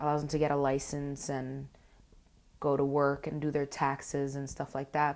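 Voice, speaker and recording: In a very clean recording with a silent background, a woman with a very deep, low pitch talks at a moderate pace in a monotone, flat intonation. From Uruguay. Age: 20s. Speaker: college student. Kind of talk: interview. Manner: halting.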